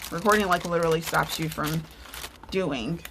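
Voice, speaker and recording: A woman's fairly low voice with vocal fry and a bright, sharp tone. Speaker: card-making crafter and nurse. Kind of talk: crafting tutorial. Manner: animated.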